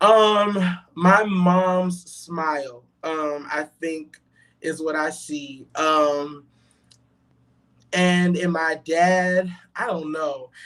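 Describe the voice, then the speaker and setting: A man with an American accent speaks with fairly even intonation. He leaves long, frequent pauses. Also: fairly high pitch for a man. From Brooklyn, New York, then Charlotte, North Carolina. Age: 20s. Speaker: gospel singer. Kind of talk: interview. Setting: live online show. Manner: fast at times.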